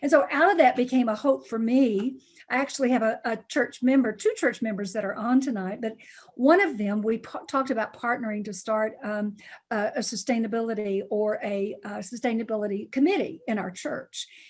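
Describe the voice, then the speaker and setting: A woman with a Tennessee accent speaks at a fairly quick pace in a fairly high, somewhat breathy voice with ordinary pitch variation, on a very clean recording with a silent background. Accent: Southern US (Tennessee). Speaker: pastor. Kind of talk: community meeting talk.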